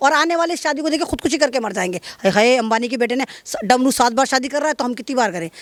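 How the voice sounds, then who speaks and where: The delivery has an animated tone and lively intonation. The sound is dry and close with no echo. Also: woman. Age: old. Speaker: interviewee, comic commentator. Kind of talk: comic interview.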